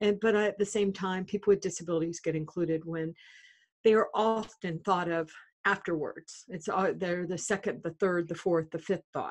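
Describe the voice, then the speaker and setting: A woman with a plain, everyday voice, an American accent and medium pitch speaks at a moderate pace with fairly even intonation against a quiet background. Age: 60s. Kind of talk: podcast interview. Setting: phone or video call.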